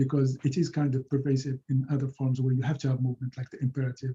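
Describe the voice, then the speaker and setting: Somewhat breathy, a man talks with a Moroccan accent. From Morocco. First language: Moroccan Arabic. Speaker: linguistics professor. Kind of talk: lecture. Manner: halting, many repetitions and fillers. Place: home room. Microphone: webcam.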